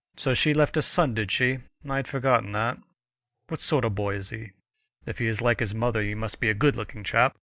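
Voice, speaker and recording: In a gruff, put-on character voice with ordinary pitch variation, the speaker moves at a fairly quick pace but leaves long, frequent pauses, on a very clean recording with a silent background. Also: man, medium pitch for a man. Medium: read story. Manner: blustering, gruff, fond of "egad" and "sir".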